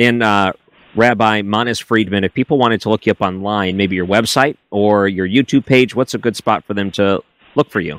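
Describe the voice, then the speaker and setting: A plain, everyday voice from a man at a fairly low pitch, with fairly even intonation, a dry, close sound with no echo and a very clean recording, silent background. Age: 30s. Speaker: radio host. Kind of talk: radio interview.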